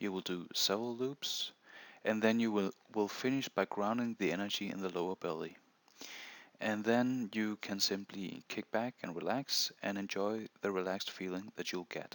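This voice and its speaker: A man's fairly low voice with a non-native accent and fairly even intonation, dry and close with no echo, on a very clean recording with a silent background. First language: not English. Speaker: meditation instructor. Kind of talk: tutorial. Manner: halting.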